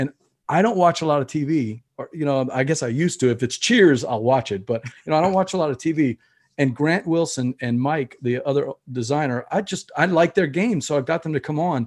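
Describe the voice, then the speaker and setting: At a fairly quick pace, a man with a Louisiana accent talks at a fairly high pitch with lively intonation. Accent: Southern US (Louisiana). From Louisiana, US South. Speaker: board game podcaster. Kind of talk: casual interview.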